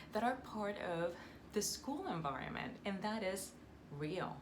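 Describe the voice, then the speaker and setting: Heard over noticeable background noise and audible room echo, a woman with a Puerto Rican accent talks at a fairly slow pace. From Puerto Rico. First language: Spanish. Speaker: Spanish teacher. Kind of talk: educational vlog talk. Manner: halting, many fillers.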